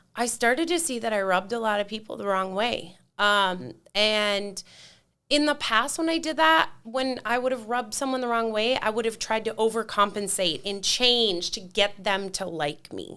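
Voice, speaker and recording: Loud and animated, a woman speaks at a moderate pace in a fairly high, bright, sharp voice with lively intonation, recorded very cleanly against a silent background. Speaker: mentor for divorced women. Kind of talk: casual chat.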